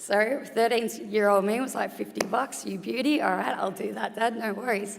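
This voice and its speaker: With an Australian accent, a woman talks at a moderate pace. Her pitch variation is ordinary. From Australia, Geelong. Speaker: retired boxer, sports board member. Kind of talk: conference talk. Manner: conversational.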